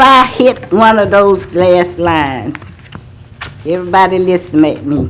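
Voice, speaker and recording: Very slow woman's speech in an American accent with very wide pitch swings, audible room echo and noticeable background noise. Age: 70s. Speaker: resident speaking at public comment. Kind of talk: public comment testimony. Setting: city council meeting.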